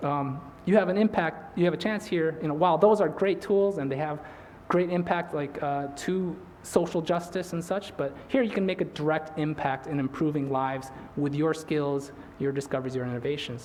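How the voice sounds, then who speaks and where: Amid audible room echo and noticeable background noise, a man speaks at a fairly high pitch with ordinary pitch variation. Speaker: invited speaker, physician. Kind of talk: lecture. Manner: fast; mumbling.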